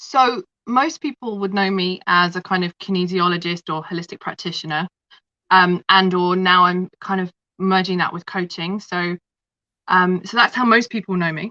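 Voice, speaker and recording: Against a quiet background, a woman with a London accent speaks at a medium pitch in a bright, sharp tone. Her intonation is fairly even, and the sound is dry and close with no echo. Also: moderate pace. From London, England. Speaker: kinesiologist and holistic practitioner. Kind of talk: interview storytelling.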